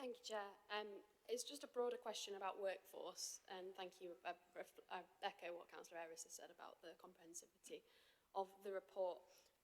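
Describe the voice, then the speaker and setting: A woman puts on a husky character voice at a medium pitch. She moves at a fairly quick pace. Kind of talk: formal, polite.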